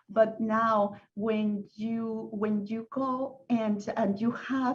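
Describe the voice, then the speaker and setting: A woman with a Spanish accent speaks in a somewhat breathy voice at a fairly high pitch with fairly even intonation. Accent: Spanish-speaking. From Venezuela, Caracas. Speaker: panel speaker. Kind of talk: panel discussion. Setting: video call. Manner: halting.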